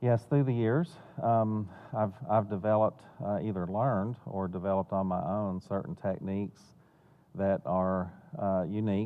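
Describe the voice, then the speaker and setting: A man with a Southern US accent speaks at a moderate pace. His voice sits fairly low, with ordinary pitch variation. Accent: Southern US accent (self-noted). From Florida and North Carolina. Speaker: financial planner and benefactor. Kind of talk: interview. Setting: theater. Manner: hesitant, many fillers and repeats.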